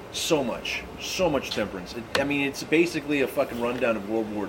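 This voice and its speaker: With an American accent, a man speaks at a moderate pace and lively intonation, amid noticeable background noise and audible room echo. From Tennessee/Kentucky border, US South. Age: 30s. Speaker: comedian. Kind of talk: casual chat. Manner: animated.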